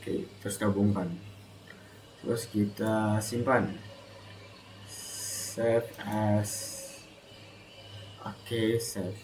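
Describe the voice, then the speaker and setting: A soft-spoken man at a very slow pace, fairly low in pitch and monotone, with long, frequent pauses, audible room echo and noticeable background noise. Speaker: student. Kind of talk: tutorial.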